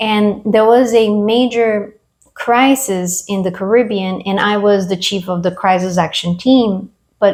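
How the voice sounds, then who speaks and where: Fairly slow and fairly even in intonation, a woman speaks in a Latin American accent. Her pitch sits at a medium level. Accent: Latin American accent, still noticeable. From Brazil. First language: Portuguese or Spanish. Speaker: military veteran. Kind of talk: interview.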